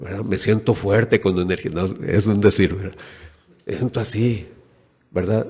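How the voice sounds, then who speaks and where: A fairly low, dark and mellow male voice, somewhat breathy, at a fairly slow pace with long, frequent pauses. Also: fairly even intonation. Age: 60s. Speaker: preacher. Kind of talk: sermon.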